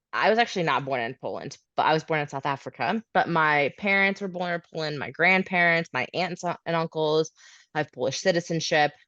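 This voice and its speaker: A woman with a Midwestern US accent speaks at a moderate pace in a fairly low pitch with ordinary pitch variation, the sound dry and close with no echo over a quiet background. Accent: General American, Midwest. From Kansas City, US Midwest. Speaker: host mom of an au pair. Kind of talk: interview, casual chat.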